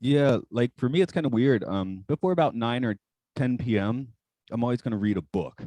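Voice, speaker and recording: A man with an American accent, medium pitch, dark and mellow tone, lively intonation and moderate pace, in a dry, close sound with no echo. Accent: mostly flattened, faint Southern. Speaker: podcast guest. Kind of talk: casual chat.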